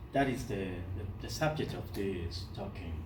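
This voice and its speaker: Room echo can be heard in the recording. There is also noticeable background noise. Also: man. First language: Spanish. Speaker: poet. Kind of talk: lecture. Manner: halting.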